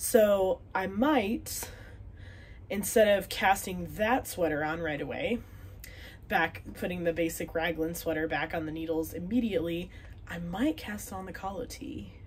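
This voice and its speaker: A woman with an American accent and vocal fry speaks fairly slowly at a fairly low pitch, with ordinary pitch variation and big swings in loudness. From Wisconsin, US Upper Midwest. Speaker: knitting podcaster. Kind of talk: casual chat. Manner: chatty, filler words.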